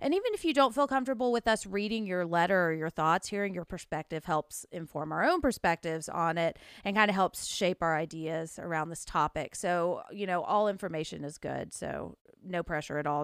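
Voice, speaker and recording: With a Southern US accent, a woman talks at a fairly quick pace, with hardly any pauses, a fairly low pitch and ordinary pitch variation. The sound is dry and close with no echo, and the recording is very clean over a silent background. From US South. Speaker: podcast host. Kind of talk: casual chat.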